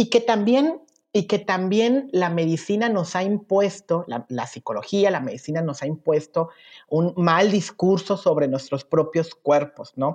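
With an unremarkable speaking voice, a woman talks at a medium pitch and a fairly slow pace, her intonation lively over a quiet background. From Veracruz, Mexico. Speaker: LGBT prison rights activist. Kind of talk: interview conversation. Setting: remote recording.

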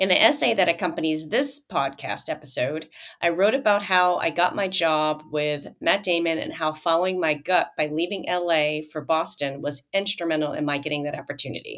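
With an American accent and an unremarkable speaking voice, a woman talks at a moderate pace and fairly low pitch, with ordinary pitch variation and hardly any pauses. The recording is very clean, with a silent background. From US Midwest, Joliet, Illinois. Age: 50s. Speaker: podcast host. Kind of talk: personal monologue.

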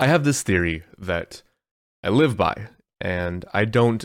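The man's voice comes through on a very clean recording against a silent background. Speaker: online content creator and podcast host. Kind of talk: solo monologue podcast.

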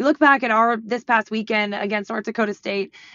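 An ordinary speaking voice from a woman, fairly high in pitch with ordinary pitch variation. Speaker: women's basketball head coach. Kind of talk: interview.

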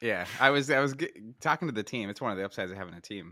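At a very fast pace, a man with an American accent speaks at a medium pitch in a bright, sharp tone with lively intonation. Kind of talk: casual podcast chat.

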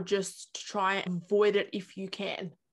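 The voice is flat and monotone, in an Australian accent. The background is quiet. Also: woman. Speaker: YouTuber and journalist. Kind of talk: interview; casual vlog intro.

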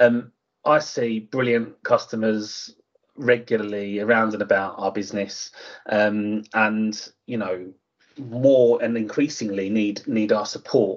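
The speaker talks in an Essex accent at a fairly slow pace. The intonation is fairly even. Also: man, fairly low pitch for a man. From England, Harlow in Essex. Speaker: housing association executive. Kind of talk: interview. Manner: halting, many fillers.

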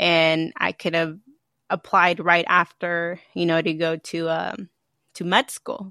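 The speaker has an American accent and a bright, sharp tone, talking at a very slow pace with monotone, flat intonation. The sound is dry and close with no echo over a quiet background. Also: woman, fairly low pitch for a woman. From California, Santa Maria. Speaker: former lab worker, student. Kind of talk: casual interview.

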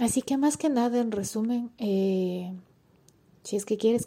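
At a fairly slow pace, a woman speaks in a dark, mellow tone in a very clean recording with a silent background. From Ecuador. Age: 20s. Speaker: podcaster. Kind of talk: casual monologue. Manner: halting.

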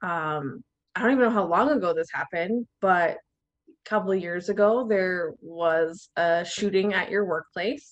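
A woman's medium-pitched voice, an ordinary speaking voice, with ordinary pitch variation at a moderate pace. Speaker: podcast host. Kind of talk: casual interview chat.

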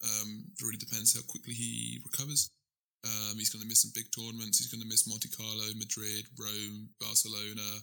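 With a British accent, a man talks at a moderate pace in a fairly low, bright, sharp voice with monotone, flat intonation. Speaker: podcast co-host. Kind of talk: casual chat.

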